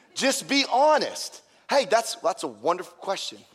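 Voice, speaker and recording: An animated tone from a man, with very wide pitch swings. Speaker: pastor. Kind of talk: sermon. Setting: church.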